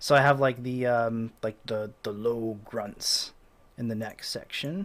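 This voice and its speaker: Very slow delivery carries pitch that varies in an ordinary way. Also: man. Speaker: composer. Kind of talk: tutorial. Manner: casual, with many fillers.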